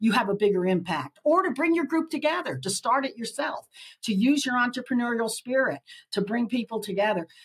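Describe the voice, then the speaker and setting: A woman speaks with a fairly high pitch and lively intonation. Her voice is somewhat breathy. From Nicaragua. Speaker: author and leadership educator. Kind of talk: podcast interview.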